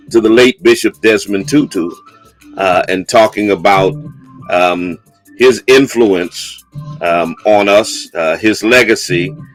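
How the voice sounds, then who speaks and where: Music plays in the background as a man speaks at a very slow pace. His voice is fairly low in pitch, with lively intonation. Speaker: bishop and radio/live show host. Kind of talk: live call-in radio talk show. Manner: emphatic, firmly interrupting a caller.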